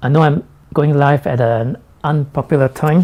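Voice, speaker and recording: Somewhat breathy and dark, mellow in tone, a man's fairly high voice moves at a fairly slow pace. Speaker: tech vlogger. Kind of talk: live stream product review. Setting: live stream.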